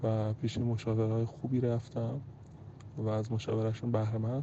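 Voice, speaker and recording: This man's voice is somewhat breathy and sits at a medium pitch. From Iran, Tehran. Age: 30s. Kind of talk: personal testimony.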